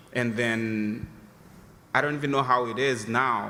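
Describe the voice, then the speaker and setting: A fairly slow pace from a man talking. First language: not English. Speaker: audience member asking a question. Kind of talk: audience question. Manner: halting, many fillers.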